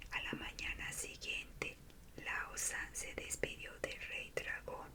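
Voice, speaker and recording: A woman whispering at a very slow pace amid noticeable background noise. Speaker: ASMR creator. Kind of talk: bedtime story reading. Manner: whispered.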